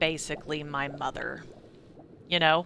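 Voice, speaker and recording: In a slight country accent, a woman speaks with a bright, sharp tone. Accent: slight country twang. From Indiana and Kentucky, US Midwest. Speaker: streamer. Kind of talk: casual chat. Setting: live stream. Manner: rambling, halting.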